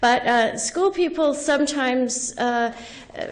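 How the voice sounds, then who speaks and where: A woman's high voice with ordinary pitch variation at a fairly slow pace, amid audible room echo and noticeable background noise. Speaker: education professor and researcher. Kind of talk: lecture.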